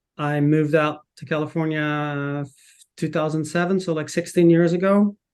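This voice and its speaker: With a Dutch accent, a man talks in a fairly high, monotone voice with flat intonation against a quiet background. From Netherlands. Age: 40s. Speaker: footwear marketing manager. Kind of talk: casual interview chat.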